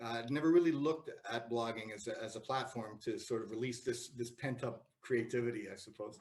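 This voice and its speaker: A somewhat breathy man with a Canadian accent, talking at a fairly quick pace with hardly any pauses. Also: medium pitch for a man, ordinary pitch variation. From Canada, Toronto. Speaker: writer. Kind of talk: interview. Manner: halting, many repetitions and fillers.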